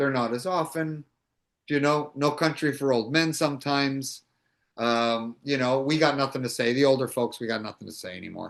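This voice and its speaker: Someone with a Toronto accent talks at a moderate pace with ordinary pitch variation over a quiet background. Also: man, fairly high pitch for a man. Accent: Canadian English (Toronto). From Canada, Toronto (Little Italy). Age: 60s. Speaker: actor. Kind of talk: interview, casual chat. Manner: halting, many fillers and restarts.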